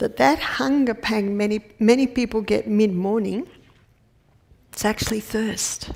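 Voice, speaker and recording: Speaking at a fairly slow pace, a woman with an Australian accent uses a medium pitch and ordinary pitch variation. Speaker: naturopath and health educator. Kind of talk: health lecture. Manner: conversational.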